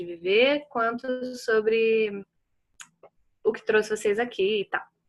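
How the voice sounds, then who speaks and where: A woman's high-pitched voice. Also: quiet background. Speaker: workshop facilitator on grief and art. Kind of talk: online talk introduction. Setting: video call.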